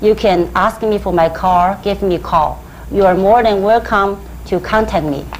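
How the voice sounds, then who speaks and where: Through audible room echo and noticeable background noise, a woman with a Chinese accent speaks at medium pitch and a moderate pace with ordinary pitch variation. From China, Hubei. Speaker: Chinese medicine practitioner. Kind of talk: lecture. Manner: halting.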